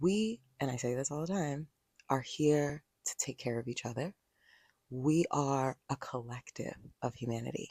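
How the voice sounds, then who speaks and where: Quiet and at a moderate pace, a woman speaks in a very deep, low pitch with a dark, mellow tone and lively intonation, leaving long, frequent pauses in a dry, close sound with no echo. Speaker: podcast host. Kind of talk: solo podcast talk. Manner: quiet, low-key. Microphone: handheld mic held close to mouth.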